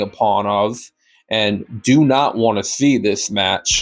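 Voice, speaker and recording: A man's voice with music in the background. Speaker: wrestling commentary youtuber. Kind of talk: rant to camera. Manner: unhurried, deliberate.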